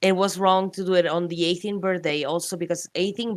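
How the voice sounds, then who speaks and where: A woman talks very fast at a fairly low pitch, with a non-native accent. The recording is very clean, with a silent background. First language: not English. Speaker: streamer. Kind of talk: casual chat. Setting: livestream call. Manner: halting.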